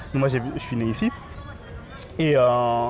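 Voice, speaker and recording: A man talks at a moderate pace while noticeable background noise can be heard. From Paris. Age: 30s. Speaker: podcast host. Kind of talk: casual chat. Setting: outdoors.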